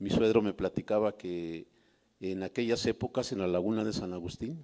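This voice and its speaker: At a moderate pace, a man speaks in a fairly low voice with a dark, mellow tone and ordinary pitch variation. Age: 70s. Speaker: audience member sharing memories. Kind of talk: testimony. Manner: halting.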